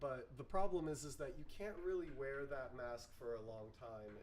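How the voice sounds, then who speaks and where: At a fairly slow pace, a man talks with audible room echo around him. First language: not English. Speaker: plastic recycling workshop organizer. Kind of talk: online info session / tutorial. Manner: halting, with many fillers.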